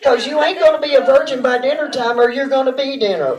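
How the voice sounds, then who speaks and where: Recorded with noticeable background noise and audible room echo, a woman speaks in a Texas accent. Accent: Texas Southern drawl. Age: 50s. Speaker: amateur stand-up comedian. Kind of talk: stand-up. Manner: halting, rambling with many fillers.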